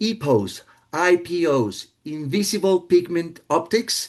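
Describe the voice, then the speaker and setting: Lively intonation marks this man's speech. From Colombia. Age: 60s. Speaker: marine biologist and artist. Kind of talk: casual presentation. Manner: hesitant, many fillers.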